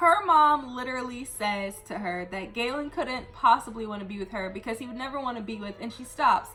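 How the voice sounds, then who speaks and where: Over noticeable background noise, a woman speaks fairly quickly in a raised, projected, high-pitched voice with very wide pitch swings, big swings in loudness and hardly any pauses. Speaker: booktuber and young adult author. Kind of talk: book review rant. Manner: fast; animated.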